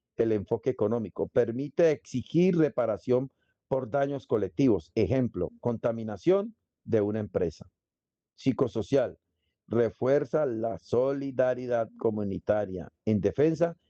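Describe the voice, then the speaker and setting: Speaking at a fairly slow pace, a man with a dark, mellow tone and medium pitch uses lively intonation and very even loudness, in a dry, close sound with no echo. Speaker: instructor. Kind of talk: online lecture.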